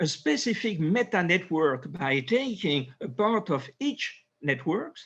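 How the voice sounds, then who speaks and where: A man in a French accent, high-pitched for a man, at a very slow pace with very wide pitch swings, over a quiet background. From France. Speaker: neurosurgeon. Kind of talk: interview. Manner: halting.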